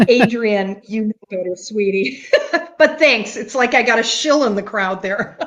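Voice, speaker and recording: Speaking with an American accent, the voice moves at a fairly slow pace with ordinary pitch variation. Background noise is noticeable. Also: woman, fairly high pitch for a woman. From US Midwest, Chicago area. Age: 70s. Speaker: carnivore diet content creator. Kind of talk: casual chat.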